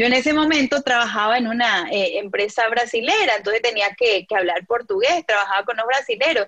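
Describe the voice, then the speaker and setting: Over noticeable background noise, a woman speaks at a fairly quick pace. Her voice is high, with lively intonation. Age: young. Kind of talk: interview. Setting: video call.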